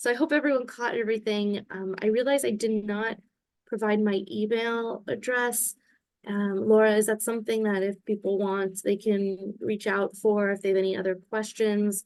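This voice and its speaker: Against a quiet background, a woman talks in a normal speaking voice at a moderate pace with fairly even intonation. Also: fairly high pitch for a woman. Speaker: lawyer, webinar speaker. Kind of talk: Q&A in a legal webinar.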